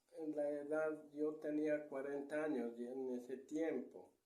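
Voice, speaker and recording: There is audible room echo around a man whose voice has a dark, mellow tone and a fairly high pitch. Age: 70s. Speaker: retired treasure digger. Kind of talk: interview storytelling.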